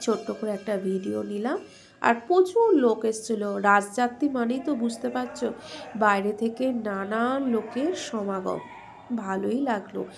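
Noticeable background noise accompanies a woman's fairly high voice with ordinary pitch variation. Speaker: vlogger. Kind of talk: travel vlog narration.

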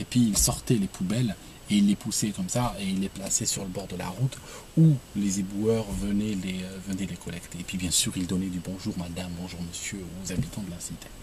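Through light background noise, a man with very deep, low pitch speaks at a moderate pace with ordinary pitch variation. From Algeria. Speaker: video blogger giving opinions. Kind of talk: opinionated monologue to camera. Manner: hesitant, repeats words. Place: car. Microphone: phone near.

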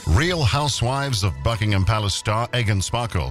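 A man with a fairly low pitch talks at a fairly quick pace with very wide pitch swings, in a dry recording with no echo and faint music behind him. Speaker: radio host. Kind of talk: parody radio news read. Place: studio.

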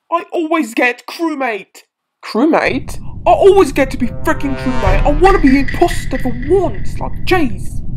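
A whiny, put-on character voice at a moderate pace. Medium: cartoon. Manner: whiny, then smug.

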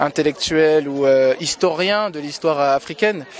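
Against light background noise, a man speaks at a fairly high pitch with ordinary pitch variation in a dry sound with no echo. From Congo-Brazzaville. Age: 20s. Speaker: male pageant winner, actor and director; interviewee. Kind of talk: interview. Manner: hesitant, many fillers. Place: street. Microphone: handheld.

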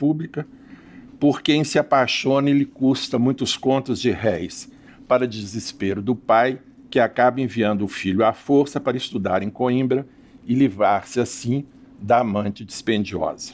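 A man at a moderate pace, medium-pitched, with ordinary pitch variation. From Brazil, Minas Gerais. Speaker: literature professor. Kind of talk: lecture. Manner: reading aloud. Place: hall.

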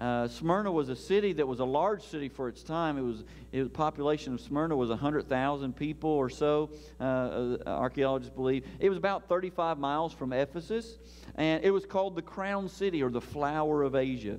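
A man talks at a moderate pace, and his pitch varies in an ordinary way. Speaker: pastor. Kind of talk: sermon. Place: church.

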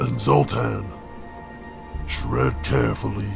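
The voice is a put-on character voice. Clear music plays in the background. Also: man.

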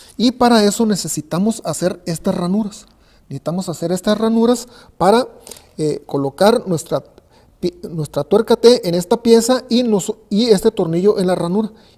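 Against a quiet background, a man with a high, dark, mellow voice talks at a moderate pace with ordinary pitch variation. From Mexico, Ensenada, Baja California. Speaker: carpenter. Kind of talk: tutorial. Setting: workshop. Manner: halting. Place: workshop.

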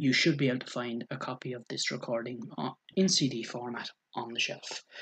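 Someone talks at a fairly quick pace with an Irish accent. The pitch varies in an ordinary way. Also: man. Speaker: library staff member. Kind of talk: tutorial. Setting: screen recording.

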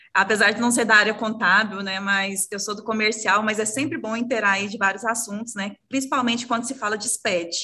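A woman's fairly high voice at a moderate pace, fairly even in intonation, with hardly any pauses. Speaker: career consultant, promoting courses; sales representative for course. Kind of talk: short promo. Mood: friendly, smiling. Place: home room. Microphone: video call.

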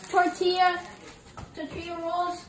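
Her pitch is extremely high as a woman speaks. Light background noise can be heard. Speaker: family vacation vlogger. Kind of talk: casual vlog chat. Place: kitchen. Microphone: phone near.

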